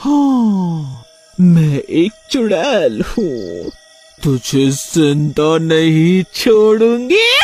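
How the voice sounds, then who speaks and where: Someone speaks very slowly in a put-on character voice pitched in the middle range. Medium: dub.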